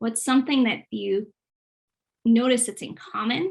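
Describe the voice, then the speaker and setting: A woman with an American accent, fairly high pitch, moderate pace and ordinary pitch variation. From Boston, US. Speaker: youth program specialist, former English teacher. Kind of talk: online presentation / webinar.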